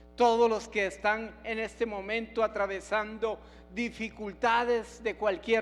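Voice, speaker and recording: Here a man talks at a high pitch with monotone, flat intonation. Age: 70s. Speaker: pastor. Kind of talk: sermon.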